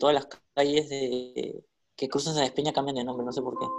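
Speaking at a very fast pace, a man with a fairly high pitch keeps a monotone, flat intonation. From Peru, Callao. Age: 20s. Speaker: podcast co-host. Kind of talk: casual chat.

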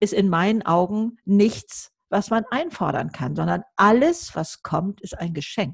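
Vocal fry and very wide pitch swings mark a woman's voice at a fairly slow pace. The sound is dry and close with no echo. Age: 70s. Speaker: YouTuber and author. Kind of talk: podcast interview.

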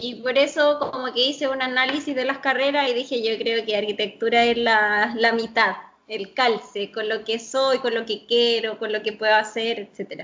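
With a Chilean accent, a woman speaks at a fairly high pitch and a moderate pace. Her intonation is fairly even, and she hardly pauses. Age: 30s. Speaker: architect. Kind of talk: interview.

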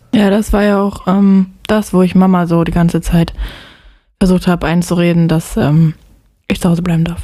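With a dark, mellow tone and a fairly low pitch, a woman speaks at a moderate pace in a monotone, flat intonation, her loudness very even and her pauses long and frequent. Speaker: podcast co-host. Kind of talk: casual chat.

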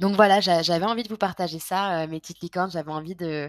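Over a silent background on a very clean recording, a woman with fairly low pitch speaks at a moderate pace and with fairly even intonation. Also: dry, close sound with no echo. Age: 20s. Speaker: podcast host. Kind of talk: personal confessional monologue. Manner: hesitant, many fillers and repetitions.

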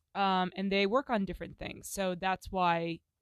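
A woman with a plain, everyday voice, medium pitch and moderate pace. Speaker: podcast host. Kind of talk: casual solo monologue. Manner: rambling, casual, self-interrupting.

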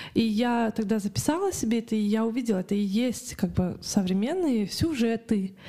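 In an ordinary speaking voice, a woman talks at a moderate pace and fairly high pitch, with ordinary pitch variation, very even loudness and hardly any pauses. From Kazakhstan, Karaganda. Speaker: artist and illustrator. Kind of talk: interview. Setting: studio.

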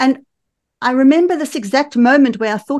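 This woman speaks in a South African accent. Her pace is moderate and her intonation lively. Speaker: women's empowerment coach and movement founder. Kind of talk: casual interview. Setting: remote call. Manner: animated.

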